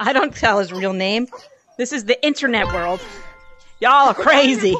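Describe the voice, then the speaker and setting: The intonation is lively. Clear music can be heard in the background. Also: woman. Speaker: gaming streamer. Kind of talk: casual gaming chat. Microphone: headset.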